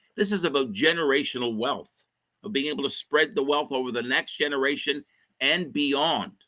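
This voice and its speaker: Bright, sharp tone with lively intonation, at a fairly quick pace. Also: man. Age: 60s. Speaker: mergers and acquisitions advisor. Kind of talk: livestream interview. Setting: live online stream.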